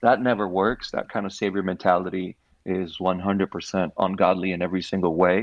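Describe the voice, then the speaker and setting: A man talks at a fairly quick pace in a very deep, low voice. His intonation is monotone and flat. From Puerto Rico. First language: Spanish (Puerto Rican). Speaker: nonprofit founder. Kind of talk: casual interview.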